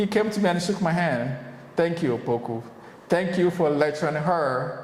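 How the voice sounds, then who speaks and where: Noticeable background noise and audible room echo surround a man speaking at a moderate pace, high in pitch with ordinary pitch variation. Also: very even loudness. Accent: American. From Ghana. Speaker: business owner, returnee from the diaspora. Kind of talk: casual interview chat.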